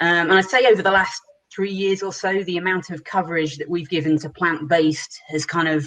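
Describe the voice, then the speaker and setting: Her voice fairly low for a woman, she speaks at a fairly quick pace with fairly even intonation. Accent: British. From England, Shrewsbury. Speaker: journalist and editor. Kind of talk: panel discussion.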